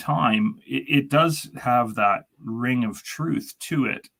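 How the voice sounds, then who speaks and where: A man's medium-pitched voice with vocal fry and lively intonation, in a Canadian accent. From Canada. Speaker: chemical engineer. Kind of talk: casual chat.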